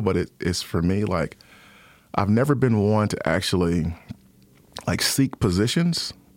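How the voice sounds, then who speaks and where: In an unremarkable speaking voice, a man talks at a moderate pace with a fairly low pitch and ordinary pitch variation, recorded very cleanly against a silent background. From Detroit, Michigan. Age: 40s. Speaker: school superintendent. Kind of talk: interview.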